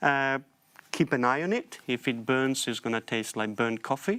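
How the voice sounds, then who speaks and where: Pitched in the medium range with ordinary pitch variation, a man with an Italian accent talks at a fairly slow pace. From Italy. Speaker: forager. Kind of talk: TV panel interview. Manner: halting.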